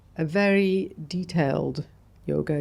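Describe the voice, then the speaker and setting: With an English accent, a woman speaks in a dark, mellow tone at a very deep, low pitch. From Saudi Arabia, moved to England at 13. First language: Arabic. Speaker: architect. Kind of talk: podcast interview. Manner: reflective, with frequent fillers.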